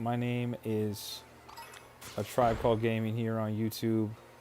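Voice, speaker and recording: A man at medium pitch, talking at a fairly slow pace over noticeable background noise. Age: 30s. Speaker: gaming streamer. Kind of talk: live stream chat. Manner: animated.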